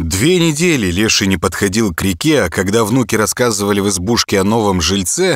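What we hear is an unforced reading voice.

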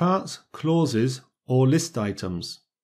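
On a very clean recording with a silent background, a man speaks in a dark, mellow tone that is somewhat breathy. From Britain. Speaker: English teacher. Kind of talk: tutorial. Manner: clear, measured.

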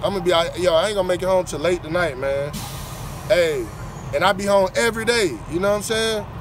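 A man talks at a fairly quick pace. The sound is dry with no echo, and faint music plays in the background. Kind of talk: casual vlog chat. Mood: frustrated but upbeat. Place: open country. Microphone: headset.

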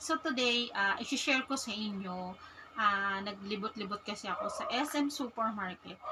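At a fairly slow pace, a woman speaks with a fairly high pitch and ordinary pitch variation. Noticeable background noise can be heard. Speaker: vlogger. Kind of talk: casual vlog.

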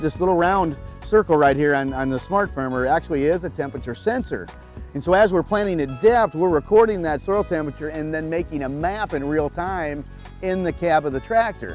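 Fairly quick speech comes through dry with no echo, with faint music in the background. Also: man. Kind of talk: product explanation interview. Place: open country. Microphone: lapel.

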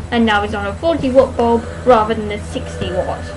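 A woman mumbles at a fairly quick pace. Noticeable background noise runs behind her. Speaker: book reviewer. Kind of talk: casual book review to camera. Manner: mumbles in parts. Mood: chatty, self-deprecating. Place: home room. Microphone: webcam.

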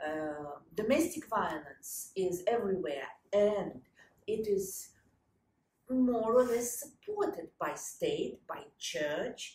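Speaking very slowly in a Russian accent, a woman with a fairly high, somewhat breathy voice swings very widely in pitch, with audible room echo and light background noise. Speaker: historian and lecturer; lecturer. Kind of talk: conference talk. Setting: stage with audience. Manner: halting. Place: home room.

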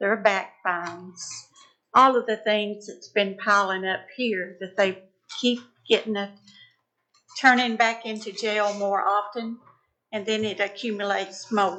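A woman with a Tennessee accent speaks fairly slowly at a medium pitch in a monotone, flat intonation, with long, frequent pauses. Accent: Southern US (Tennessee). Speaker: citizen speaking at public forum. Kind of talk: public comment. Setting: county commission meeting room.

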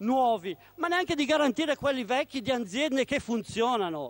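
A man's voice in a dry recording with no echo. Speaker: opposition member of parliament. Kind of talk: parliamentary question time oratory. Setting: parliament chamber. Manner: forceful, urgent, accusatory; formal, emphatic. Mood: critical, combative. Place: hall. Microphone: podium.

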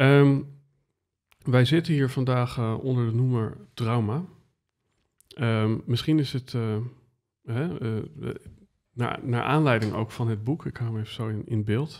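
The speech moves at a very slow pace with long, frequent pauses against a quiet background. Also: man, medium pitch for a man, ordinary pitch variation. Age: 30s. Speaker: podcast host. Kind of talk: interview conversation. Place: studio. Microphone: studio mic.

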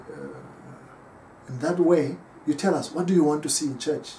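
A man's voice moves at a moderate pace while light background noise sits underneath. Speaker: pastor. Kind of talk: sermon. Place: home room. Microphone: camera far.

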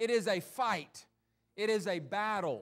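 Speech from a man against a quiet backdrop. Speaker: pastor. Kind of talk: sermon. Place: church. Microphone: handheld.

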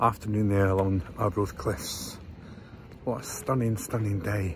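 A man's somewhat breathy voice at a very slow pace, with fairly even intonation, a dry sound with no echo and light background noise. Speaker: travel vlogger. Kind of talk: casual vlog chat. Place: street. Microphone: phone near.

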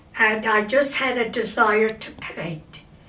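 Against audible room echo, a woman speaks at a very slow pace in a fairly high pitch. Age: 80s+. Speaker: amateur painter. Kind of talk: painting tutorial talk to camera. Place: home room.

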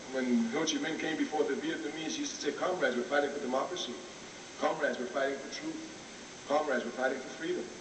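Talking very fast, a man is heard against noticeable background noise. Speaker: speaker. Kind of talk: public lecture. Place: hall. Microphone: old recording.

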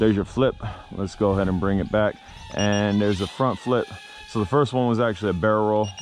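A man talks at a very fast pace in a fairly low pitch, with fairly even intonation. The sound is dry with no echo, and faint music plays in the background. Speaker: drone reviewer. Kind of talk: commentary. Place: street. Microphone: phone near.

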